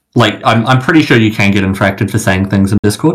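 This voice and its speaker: Speaking with a New Zealand accent, a man uses a fairly low pitch with ordinary pitch variation. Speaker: competitive gamer. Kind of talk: casual interview. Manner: hesitant, many fillers.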